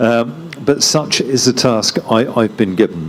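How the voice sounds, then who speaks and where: Noticeable background noise beneath a man's voice, medium in pitch, with ordinary pitch variation. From London, England. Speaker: diplomat. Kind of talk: panel talk.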